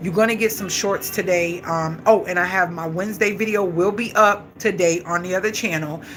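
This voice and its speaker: Against noticeable background noise, a woman with a fairly low pitch speaks at a fairly quick pace in an animated tone. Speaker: vlogger and live-stream host. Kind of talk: casual live-stream chat. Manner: fast.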